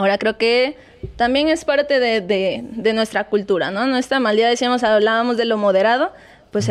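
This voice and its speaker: A woman with an ordinary speaking voice talks at a moderate pace, with ordinary pitch variation. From Mexico, Acapulco, Guerrero. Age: young. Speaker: physiotherapist. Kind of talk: interview. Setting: studio.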